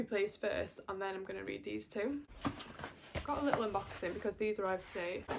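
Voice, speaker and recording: A woman with a Welsh accent talks at a very fast pace and medium pitch with ordinary pitch variation, over noticeable background noise. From Wales. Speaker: booktuber. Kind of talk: casual chat. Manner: animated.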